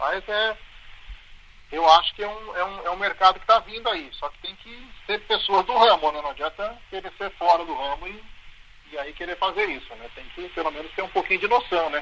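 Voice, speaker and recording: A man with a high voice projects it loudly at a moderate pace, with ordinary pitch variation and big swings in loudness. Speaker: football radio announcer. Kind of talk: interview answer. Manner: casual, conversational.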